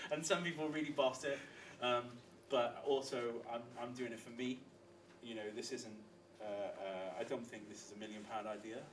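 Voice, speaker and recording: Medium-pitched male speech at a moderate pace, with ordinary pitch variation, big swings in loudness, long, frequent pauses, audible room echo and noticeable background noise. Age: 30s. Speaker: bike shop and bar owner. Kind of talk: casual chat.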